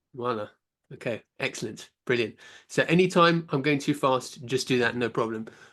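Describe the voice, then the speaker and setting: A British-accented man at medium pitch, with ordinary pitch variation, against a quiet background. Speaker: science teacher giving a conference talk. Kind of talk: conference lecture. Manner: fast.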